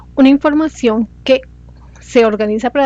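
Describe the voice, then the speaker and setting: A woman with fairly even intonation, in a dry, close sound with no echo. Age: 40s. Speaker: student. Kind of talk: class presentation. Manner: halting.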